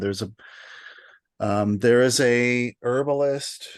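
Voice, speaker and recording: A man mumbles his words with an American accent. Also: quiet background. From US West Coast. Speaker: tea teacher. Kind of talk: online workshop Q&A. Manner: halting, self-described mumbling.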